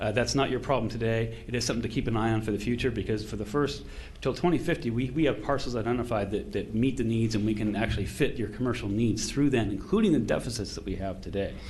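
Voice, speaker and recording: A man talks at a very fast pace with hardly any pauses and ordinary pitch variation. His voice has vocal fry, and there's audible room echo. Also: medium pitch for a man. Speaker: consultant presenting to county commissioners. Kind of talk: public meeting presentation. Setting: county commission meeting. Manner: animated.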